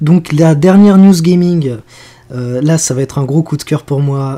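A dark, mellow, somewhat breathy voice with ordinary pitch variation. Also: man. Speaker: podcast co-host. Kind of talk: casual chat.

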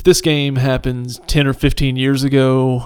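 A man of medium pitch talks at a fairly slow pace with monotone, flat intonation. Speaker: podcast host. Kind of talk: casual banter. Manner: joking, sarcastic.

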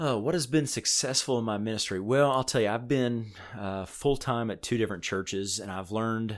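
In a very clean recording with a silent background, a man with an American accent and an unremarkable speaking voice talks at a fairly quick pace and a fairly low pitch. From Illinois. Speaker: student pastor. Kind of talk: interview.

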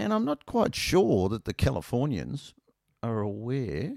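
An Australian-accented man with vocal fry, very wide pitch swings, and a dry, close sound with no echo. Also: very clean recording, silent background. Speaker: podcast host, motorcyclist. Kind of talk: casual solo monologue. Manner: rambling, casual, self-deprecating.

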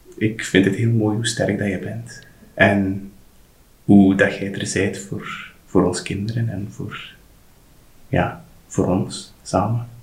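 Speech comes at a very slow pace with long, frequent pauses, monotone, flat intonation and audible room echo. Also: man. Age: 30s. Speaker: general practitioner, father. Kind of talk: casual interview, personal birth story. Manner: halting, with many restarts. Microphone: poor sound quality in recording.

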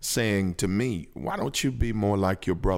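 A man with an unremarkable speaking voice, fairly low in pitch, with lively intonation at a fairly slow pace. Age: 50s. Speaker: pastor. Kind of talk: casual chat.

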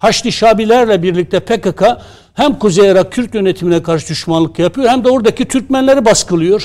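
This man has a high pitch and talks at a fairly quick pace with ordinary pitch variation. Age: 60s. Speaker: association president and newspaper columnist. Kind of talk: TV political panel discussion.

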